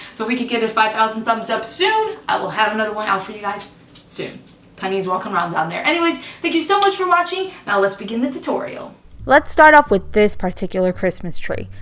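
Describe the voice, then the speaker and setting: A woman with an American accent talks at a very fast pace, her pitch swinging very widely. Noticeable background noise sits behind her. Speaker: craft YouTuber. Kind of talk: tutorial. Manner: casual, chatty.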